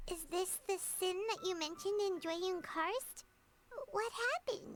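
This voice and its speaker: This woman's put-on character voice is squeaky and extremely high in pitch, with ordinary pitch variation. She keeps a moderate pace and a very even loudness. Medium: video game. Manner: earnest, affectionate.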